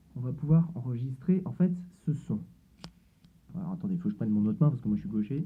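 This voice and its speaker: The speaker talks at a very fast pace with lively intonation and a somewhat breathy sound. Long pauses come often. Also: man, fairly high pitch for a man. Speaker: tech YouTuber doing experiments. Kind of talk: casual demo video.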